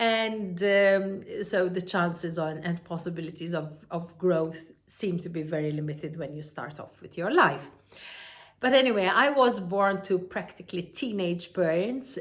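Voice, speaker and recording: In a Maltese accent, a woman speaks at a moderate pace with fairly low pitch and ordinary pitch variation. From Malta. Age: 50s. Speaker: entrepreneur and self-help speaker. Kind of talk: personal story monologue. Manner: halting with many fillers.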